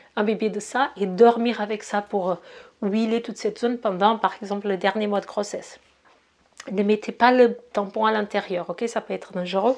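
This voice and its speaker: A woman speaks at a moderate pace in a fairly high voice, her intonation monotone and flat. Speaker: ayurveda and naturopathy teacher. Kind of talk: tutorial. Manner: halting, many hesitations.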